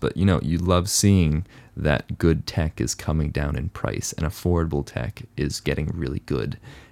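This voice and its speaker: Vocal fry runs through speech delivered at a moderate pace with ordinary pitch variation. The recording is very clean with a silent background and a dry, close sound with no echo. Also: man. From Hong Kong. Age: 20s. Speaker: photographer and YouTuber. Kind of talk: casual chat.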